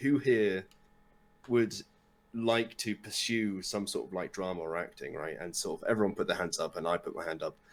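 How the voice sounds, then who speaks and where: His voice sits at a medium pitch. The man talks with a British accent. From UK. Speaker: Twitch streamer. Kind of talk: casual chat.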